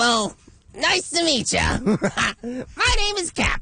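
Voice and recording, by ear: This put-on character voice sits high in pitch and swings very widely. The pace is very slow.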